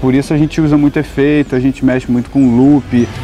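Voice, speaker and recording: A man speaks with music playing in the background. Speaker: singer-songwriter. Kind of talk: interview. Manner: soft-spoken.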